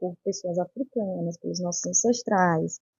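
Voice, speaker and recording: A woman with a somewhat breathy voice keeps a moderate pace, her pitch moving in an ordinary way. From São Luís, Maranhão, Brazil. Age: 20s. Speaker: psychology doctoral researcher. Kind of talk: interview. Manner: halting, many fillers.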